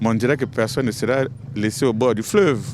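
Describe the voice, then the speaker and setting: A man's medium pitch varies in an ordinary way against noticeable background noise. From Republic of the Congo, Ngabé district. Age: 60s. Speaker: member of parliament. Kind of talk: interview statement.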